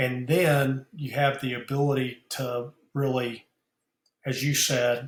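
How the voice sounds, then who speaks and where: A man's very slow, somewhat breathy speech at a medium pitch, monotone and flat. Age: 60s. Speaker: business founder and mentor. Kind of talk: podcast interview. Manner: halting, many fillers and repeats.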